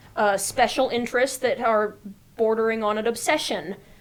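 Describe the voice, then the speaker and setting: A woman talks with an American accent at a fairly high pitch. Her pace is fairly slow. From Annandale, Virginia, USA. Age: 20s. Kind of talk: interview answer. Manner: casual, hesitant.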